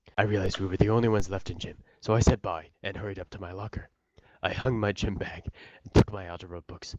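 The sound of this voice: An unforced reading voice moves in fairly even intonation against a quiet background.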